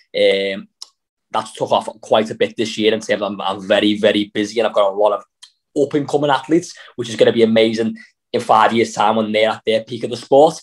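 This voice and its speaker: Talking at a very fast pace with a Liverpool accent, a man uses a medium pitch and ordinary pitch variation. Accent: Scouse. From Liverpool, England. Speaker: CrossFit athlete and coach. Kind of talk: interview.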